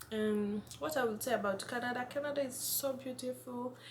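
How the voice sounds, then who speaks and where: A woman with a Kenyan accent and lively intonation, amid noticeable background noise and audible room echo. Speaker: vlogger. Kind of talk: casual vlog. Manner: halting, self-correcting.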